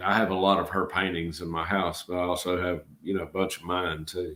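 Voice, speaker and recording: A man with a Georgia accent speaks in a very deep, low pitch. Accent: Georgia Southern drawl. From Georgia, US South. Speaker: channel host, artist. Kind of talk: casual live-stream chat.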